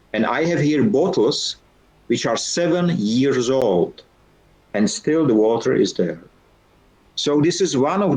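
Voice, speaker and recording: A man speaks with a Czech accent at a fairly slow pace. His pitch swings very widely. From Czech Republic. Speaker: founder and keynote speaker. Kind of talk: guest talk in online lecture. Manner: halting.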